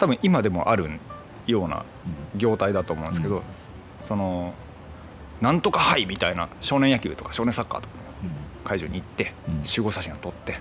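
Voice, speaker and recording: A man talks at a fairly quick pace with lively intonation. He leaves long, frequent pauses over noticeable background noise. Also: fairly low pitch for a man. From Itoshima, Fukuoka, Kyushu, Japan. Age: 40s. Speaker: photographer. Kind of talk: casual chat.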